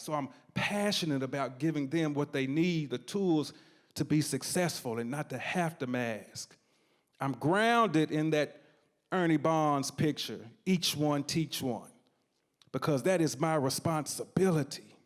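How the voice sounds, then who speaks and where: A man's fairly high voice in an East Tennessee accent, at a fairly slow pace with ordinary pitch variation, on a very clean recording with a silent background. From East Tennessee, Knoxville. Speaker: storyteller, community organizer. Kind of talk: live storytelling performance. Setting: stage with audience. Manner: animated.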